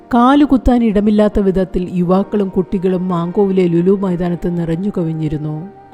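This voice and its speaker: A woman speaks at a medium pitch with ordinary pitch variation. Music plays behind her. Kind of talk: news report narration.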